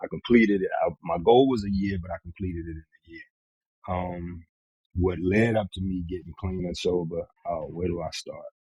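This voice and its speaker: A man's very deep, low voice with an American accent, dark and mellow in tone and somewhat breathy, at a moderate pace with fairly even intonation, big swings in loudness, and a dry, close sound with no echo. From Northern Virginia, US. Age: 40s. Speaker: recovering addict sharing his story. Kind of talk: podcast interview, personal testimony.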